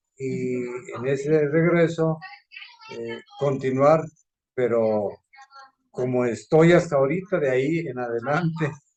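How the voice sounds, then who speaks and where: A man speaks at a very slow pace with long, frequent pauses. His pitch is fairly high, with ordinary variation. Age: 70s. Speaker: course participant. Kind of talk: discussion.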